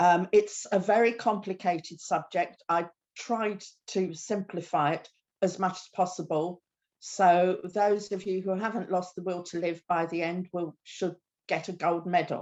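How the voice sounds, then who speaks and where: A woman speaks with a British accent at a fairly slow pace. Her pitch sits in the medium range, and her intonation is monotone and flat. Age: 60s. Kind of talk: presentation talk. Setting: video call from her kitchen.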